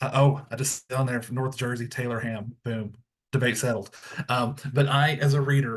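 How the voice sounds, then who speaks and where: With a strong Tennessee accent, a man speaks at medium pitch in a somewhat breathy, monotone, flat delivery. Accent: thick Tennessee. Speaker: school librarian. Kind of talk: webinar presentation.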